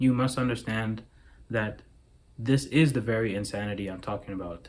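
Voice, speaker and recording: A man at a fairly slow pace, medium in pitch, with ordinary pitch variation. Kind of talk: philosophical monologue to camera. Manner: slow, clear enunciation.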